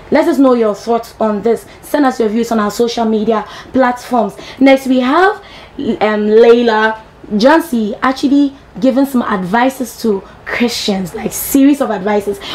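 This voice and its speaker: A woman at a fairly high pitch, fairly slow in pace with ordinary pitch variation, over noticeable background noise. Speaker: TV entertainment show host. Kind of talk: entertainment news presenting. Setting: TV studio, live broadcast.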